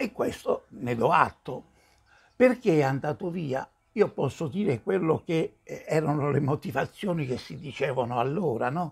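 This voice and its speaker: A man's fairly high pitch, somewhat breathy, with lively intonation, a fairly slow pace and a quiet background. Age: 70s. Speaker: commentator on religious matters; religious commentator. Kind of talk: video response monologue. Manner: hesitant, many fillers. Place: home room.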